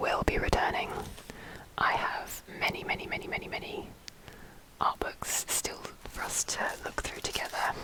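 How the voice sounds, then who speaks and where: A woman whispers at a moderate pace with long, frequent pauses over noticeable background noise. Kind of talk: ASMR whispered talk to camera. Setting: budget home mic setup. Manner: whispered, soft-spoken.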